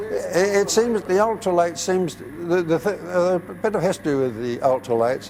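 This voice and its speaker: Moderately paced, high male voice with lively intonation and hardly any pauses, over noticeable background noise. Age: 80s+. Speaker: retired pilot and airport owner. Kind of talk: interview. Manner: halting.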